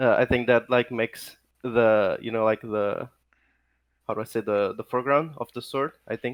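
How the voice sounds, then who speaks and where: A man with a non-native accent, medium pitch, fairly even intonation and moderate pace, in a dry, close sound with no echo. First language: not English. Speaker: guest artist. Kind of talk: casual chat. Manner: halting, many fillers.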